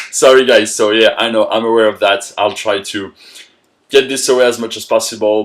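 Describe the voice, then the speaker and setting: Speaking with a French accent, a man talks at a fairly quick pace. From France. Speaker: motivational coach. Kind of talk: motivational talk.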